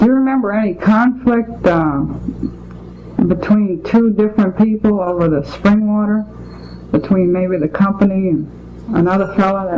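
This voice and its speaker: A woman's voice at a medium pitch and moderate pace, with ordinary pitch variation, against noticeable background noise. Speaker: oral history interviewer. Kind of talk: interview questions.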